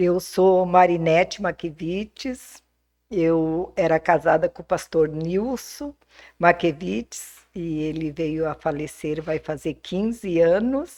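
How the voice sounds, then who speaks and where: A woman speaks at a very slow pace in a dark, mellow tone, her fairly low pitch showing ordinary pitch variation and big swings in loudness. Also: quiet background. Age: 60s. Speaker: homemaker, pastor's widow. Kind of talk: interview, personal testimony.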